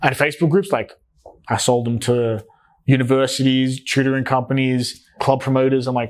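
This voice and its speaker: In an Australian accent, a man of medium pitch speaks at a moderate pace. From Australia, New South Wales, Greek parents. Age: 20s. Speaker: entrepreneur. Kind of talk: interview conversation. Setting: in-person podcast recording. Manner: casual, animated.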